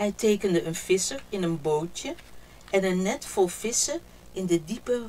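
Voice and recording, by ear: Someone reading aloud in a natural voice, the pitch shifting an ordinary amount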